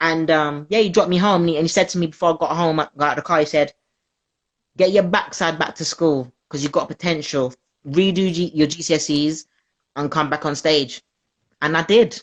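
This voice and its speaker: A woman in a South London accent talks quickly enough, at a fairly quick pace, with a fairly low pitch and fairly even intonation. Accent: South London, multicultural London English. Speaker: comedian. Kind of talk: casual interview chat.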